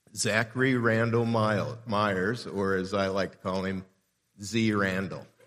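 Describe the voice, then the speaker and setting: Speaking at a fairly slow pace, a man with a fairly low pitch and an ordinary speaking voice keeps a fairly even intonation. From Southern California (Southeast LA). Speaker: pastor. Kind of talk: sermon. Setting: church.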